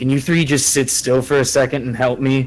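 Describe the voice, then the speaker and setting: A man uses a put-on character voice, raspy and medium in pitch. He talks at a fairly quick pace with monotone, flat intonation. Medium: actual play.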